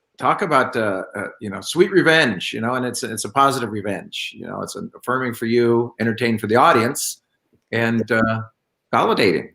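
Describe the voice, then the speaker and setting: A man speaks at a medium pitch in a bright, sharp tone. His loudness swings widely. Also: ordinary pitch variation, moderate pace. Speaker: podcast interviewer. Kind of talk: casual interview talk.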